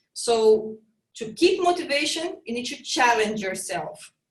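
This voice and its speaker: Lively intonation in a Brazilian accent at a moderate pace. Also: woman. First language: Portuguese. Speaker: fitness trainer and triathlete. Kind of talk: casual interview chat. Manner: halting, with repetitions.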